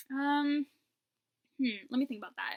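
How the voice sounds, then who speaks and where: Her tone is bright and sharp as the woman speaks at a moderate pace. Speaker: YouTuber. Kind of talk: casual vlog chat. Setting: at home. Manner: casual, filler-heavy.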